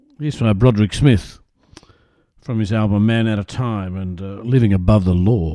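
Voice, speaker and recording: A man with an Australian accent talks at a moderate pace in a dark, mellow, fairly low voice with ordinary pitch variation. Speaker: radio host. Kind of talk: radio DJ patter introducing tracks. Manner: relaxed, chatty, easygoing; hesitant, filler-heavy, casual.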